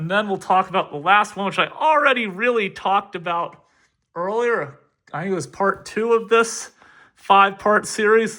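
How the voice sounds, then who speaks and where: A man projects a raised voice. His pitch is high and his tone bright and sharp. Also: ordinary pitch variation, moderate pace. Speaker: history teacher. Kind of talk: lecture. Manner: casual.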